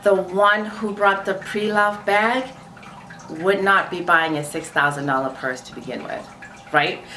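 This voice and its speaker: A woman's animated, medium-pitched voice in a non-native accent at a moderate pace, with very wide pitch swings, audible room echo and noticeable background noise. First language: not English. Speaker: luxury fashion vlogger. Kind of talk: casual commentary to camera.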